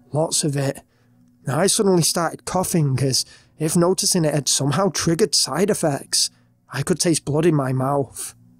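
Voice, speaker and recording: Music plays in the background as a man talks at a moderate pace with a fairly high pitch. The sound is dry and close, with no echo. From Britain. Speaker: horror story narrator. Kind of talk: reading aloud.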